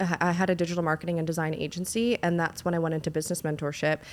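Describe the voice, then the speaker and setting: This woman speaks with a Canadian accent at a fairly low pitch. Her pace is very fast. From Canada. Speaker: business mentor. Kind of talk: casual chat. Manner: animated.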